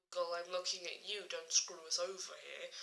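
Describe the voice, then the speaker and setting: A woman speaks quietly. She has an English accent. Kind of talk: casual talk to camera.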